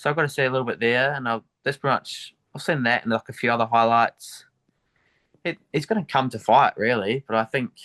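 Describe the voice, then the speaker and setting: A man talks at a fairly quick pace in a bright, sharp tone at medium pitch, his intonation fairly even. The sound is dry and close, with no echo. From New Zealand, Dunedin. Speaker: MMA fighter. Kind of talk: interview. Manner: casual, hesitant with fillers.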